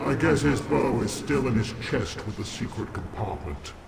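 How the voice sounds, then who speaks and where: A man does a put-on character voice at a fairly slow pace. Clear background noise and clear echo surround him. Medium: video game. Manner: polite, formal.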